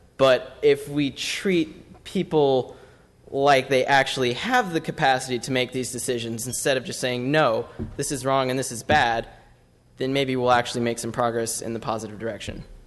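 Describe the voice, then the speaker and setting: In a normal speaking voice, a man with medium pitch talks at a moderate pace with fairly even intonation. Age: 20s. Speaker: public commenter, student. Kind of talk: public comment at council meeting. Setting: city council chamber.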